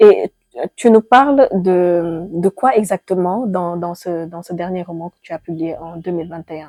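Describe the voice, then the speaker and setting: A woman with a fairly low pitch and a dark, mellow tone speaks at a fairly slow pace, showing ordinary pitch variation. Her loudness swings a lot, and the sound is dry and close with no echo. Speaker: podcast host. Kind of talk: podcast interview host.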